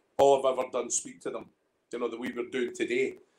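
A man with a Scottish accent at a very fast pace. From Scotland. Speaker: independent whisky bottler; guest. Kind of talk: casual chat, storytelling. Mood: animated, humorous storytelling. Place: home room. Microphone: video call.

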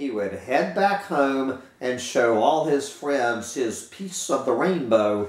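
This is reading aloud. The voice stays natural.

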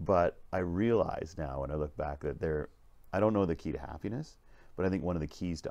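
A man speaks with vocal fry. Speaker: leadership vlogger. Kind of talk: casual vlog storytelling. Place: train.

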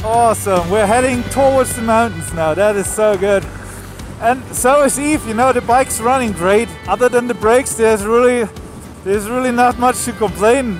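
With clear music in the background, a man with an extremely high pitch speaks at a moderate pace with fairly even intonation in a dry sound with no echo. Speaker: motorcycle travel vlogger. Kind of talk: casual vlog chat. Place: motorbike.

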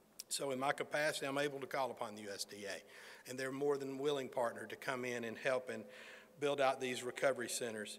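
At a fairly quick pace, a man speaks with a medium pitch. His intonation is fairly even. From Alabama, US South. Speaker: federal emergency management official. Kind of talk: press conference remarks. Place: hall. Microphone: podium.

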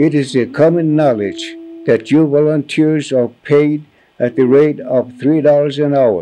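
Over light background noise, a man with an American accent talks fairly slowly in a dark, mellow tone at a fairly high pitch, with very even loudness and fairly even intonation. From US Midwest, Pine Ridge Reservation, South Dakota; South Dakota. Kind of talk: reading aloud; reading a formal letter. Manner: halting. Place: home room.

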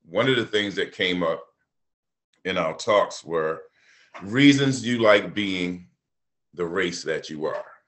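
A man speaks very slowly in a relaxed tone, leaving long, frequent pauses. The background is quiet. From Baltimore. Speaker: artist. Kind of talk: artist talk. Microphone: webcam.

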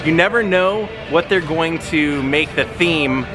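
With clear music in the background, a man speaks with ordinary pitch variation. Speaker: travel vlogger. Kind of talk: casual vlog chat. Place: street. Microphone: phone near.

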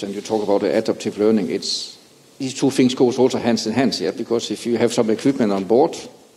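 A fairly low-pitched man's voice with a slightly husky edge and a slightly mellow tone, fairly quick and fairly even in intonation.

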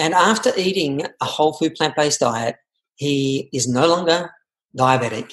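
A man's plain, everyday voice, fairly high in pitch, with ordinary pitch variation, a moderate pace and a quiet background. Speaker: interview host. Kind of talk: podcast interview intro. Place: home room. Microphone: webcam.

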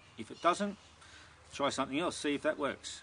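The tone is bright and sharp, and the pitch varies in an ordinary way. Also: man.

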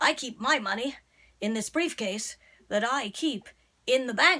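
Female-sounding and put on as a character, a voice fairly high in pitch. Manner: pompous, self-satisfied.

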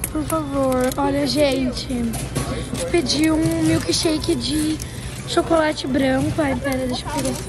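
Speech unfolds at a fairly slow pace over clear background music. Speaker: family vlogger. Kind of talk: casual vlog chat. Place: shop. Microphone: phone near.

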